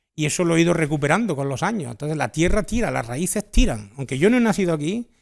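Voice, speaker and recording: A man talks very fast in an Andalusian accent, his pitch fairly high and swinging very widely. The recording is very clean with a silent background. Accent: fully Almerían Andalusian. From born in France, Almerían family roots. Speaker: novelist. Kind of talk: interview.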